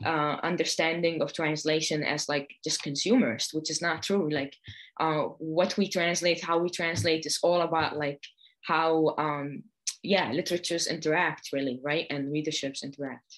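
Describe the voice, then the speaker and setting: A woman with an Arabic accent speaks in a very deep, low voice at a moderate pace, with fairly even intonation and a quiet background. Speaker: poet and translator. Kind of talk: panel discussion. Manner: many fillers and hesitations.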